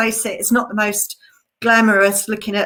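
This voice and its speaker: The pitch is fairly high. A woman talks with an English accent. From England. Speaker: conservation researcher. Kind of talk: online presentation. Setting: live stream.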